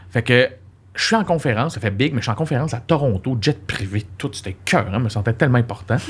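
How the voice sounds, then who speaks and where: A man speaks at a very fast pace with lively intonation. His voice is somewhat breathy. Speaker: comedian. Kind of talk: casual chat. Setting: studio. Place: studio. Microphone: studio mic.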